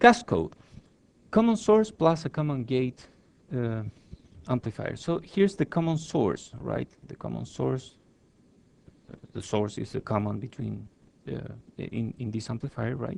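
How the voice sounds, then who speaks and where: A man speaks at a fairly slow pace with big swings in loudness. His speech has long, frequent pauses. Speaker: engineering lecturer. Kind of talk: lecture.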